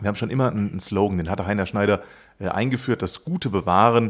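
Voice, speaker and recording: Lively intonation marks a normal speaking voice on a very clean recording with a silent background. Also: man. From Germany, Westerwald (Rhineland-Palatinate). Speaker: brewery managing director. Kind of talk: casual interview.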